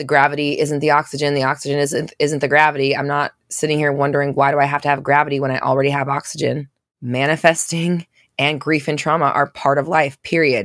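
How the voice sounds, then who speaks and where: A woman talks at a very fast pace with a very deep, low pitch and flat, monotone intonation. The recording is very clean, with a silent background. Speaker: manifestation coach and podcast host. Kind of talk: casual live Q&A coaching chat. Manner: sometimes sounds accusatory in tone; casual, fast, many fillers and restarts.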